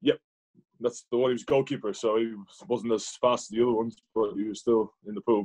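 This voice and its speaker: At a fairly quick pace, a man speaks at a medium pitch with a dark, mellow tone and fairly even intonation. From Ireland. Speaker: rugby player. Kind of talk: interview.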